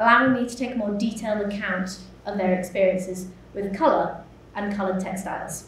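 In a West Yorkshire accent, a woman speaks with audible room echo and light background noise. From West Yorkshire, Huddersfield area; West Yorkshire, England. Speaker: MA research student. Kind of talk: conference talk. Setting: symposium stage with audience. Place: hall. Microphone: podium.

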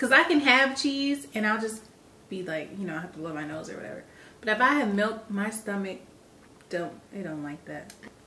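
A woman with an American accent and medium pitch speaks at a moderate pace, with big swings in loudness, very wide pitch swings, and noticeable background noise. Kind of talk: casual chat. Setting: at home.

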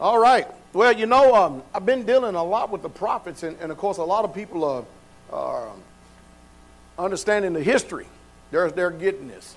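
Taking long, frequent pauses, a man talks at a moderate pace. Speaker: pastor. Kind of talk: prayer then sermon. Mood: fervent, reverent. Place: church. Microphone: podium.

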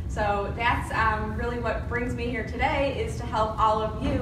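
A woman amid audible room echo and loud background noise. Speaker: presenter, marketing trainer. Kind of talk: presentation to audience. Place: meeting room. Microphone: camera far.

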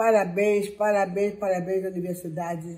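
At a fairly slow pace, a woman's somewhat breathy voice carries a dark, mellow tone and fairly even intonation. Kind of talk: interview answer. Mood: earnest, emotional. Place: home room. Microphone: phone near.

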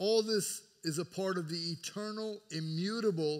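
A man's voice with ordinary pitch variation, a very slow pace and a quiet background. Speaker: pastor preaching. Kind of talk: sermon. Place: church.

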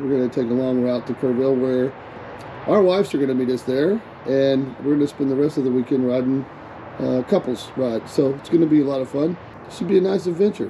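A man rattles along very fast, his pitch moving in an ordinary way, with light noise behind him. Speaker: motorcycle vlogger. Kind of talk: casual vlog chat. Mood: upbeat, excited for trip. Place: motorbike. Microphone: helmet.

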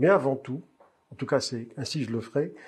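Delivered at a moderate pace, the speech carries a somewhat breathy quality. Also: man. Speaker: interviewer. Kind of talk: interview questions.

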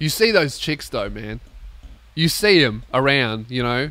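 Loud and in an Australian accent, a man speaks at a moderate pace with a fairly high pitch and a bright, sharp tone, the sound dry with no echo. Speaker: comedian and podcast host; comedian, podcast host. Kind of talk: casual comedic monologue. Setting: warehouse recording space. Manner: loud, ranting. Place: home room. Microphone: studio mic.

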